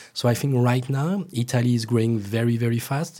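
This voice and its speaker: A man's medium-pitched, somewhat breathy voice with a dark, mellow tone and a French accent, fairly quick pace, on a very clean recording with a silent background. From France. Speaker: cocktail blogger. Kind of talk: casual chat. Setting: studio.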